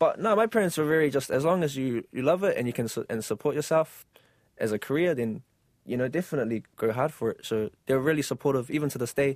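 A man talking at a very fast pace, with a dry, close sound with no echo and a very clean recording with a silent background. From New Zealand, South Auckland. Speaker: choreographer. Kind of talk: interview. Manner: halting, many fillers.

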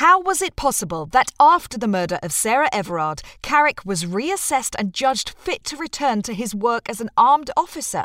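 On a very clean recording with a silent background, a woman with a British accent speaks in a high pitch with very wide pitch swings and hardly any pauses, the sound dry and close with no echo. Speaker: narrator reading articles. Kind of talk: reading aloud.

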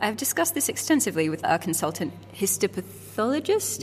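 In an Australian accent, a woman speaks with vocal fry. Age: 20s. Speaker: radio producer and podcast host. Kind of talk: documentary narration.

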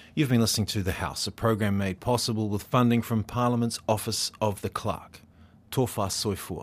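This man's pitch is fairly low, with fairly even intonation. The background is silent on a very clean recording. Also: moderate pace. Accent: New Zealand. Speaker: radio presenter. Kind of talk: news reading.

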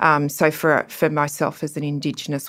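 This woman has a very deep, low pitch and speaks at a fairly slow pace with an Australian accent. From Australia, Cooma and Sydney. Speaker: law professor. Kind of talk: panel discussion.

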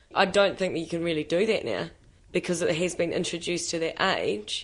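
Someone speaks with a New Zealand accent at a fairly quick pace. The intonation stays fairly even. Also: woman. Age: young. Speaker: young worker. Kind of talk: interview.

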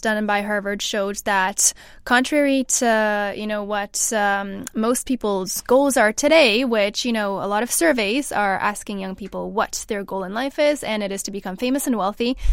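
A woman with a Canadian accent and a plain, everyday voice, fairly high pitch, ordinary pitch variation, moderate pace, in a very clean recording with a silent background. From Canada. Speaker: mental health researcher. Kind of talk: panel discussion.

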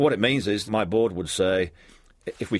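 This man talks at a very fast pace with a New Zealand accent. The recording is very clean, with a silent background. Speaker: ambulance service chief executive. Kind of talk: interview. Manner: hesitant, many fillers.

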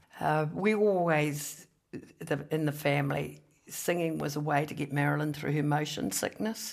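Her voice very deep and low in pitch, a woman with a New Zealand accent speaks at a moderate pace with ordinary pitch variation. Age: 60s. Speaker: economist and former politician. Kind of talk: casual interview chat.

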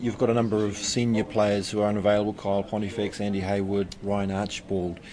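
A man speaks at a very fast pace with hardly any pauses, his pitch fairly low and his intonation monotone and flat. Audible room echo surrounds the voice. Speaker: sports reporter. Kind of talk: news report. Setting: sports arena.

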